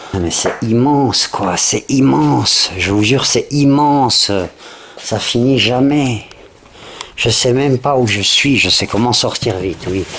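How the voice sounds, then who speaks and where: The speech comes at a very slow pace with ordinary pitch variation, against noticeable background noise. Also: man, medium pitch for a man. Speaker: urban explorer vlogger. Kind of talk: exploration vlog narration. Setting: indoors, abandoned factory. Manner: whispering.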